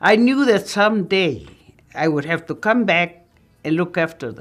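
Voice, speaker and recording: Over background music, a woman with an American accent speaks at a fairly low pitch with lively intonation and big swings in loudness. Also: moderate pace. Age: 80s+. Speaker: documentary interviewee. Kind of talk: interview testimony.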